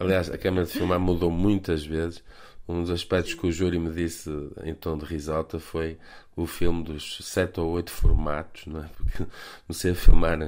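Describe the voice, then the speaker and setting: A man speaks at a moderate pace with a very deep, low pitch. His intonation stays monotone and flat, yet his loudness swings widely. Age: 40s. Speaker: film director. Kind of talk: radio interview. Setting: remote call.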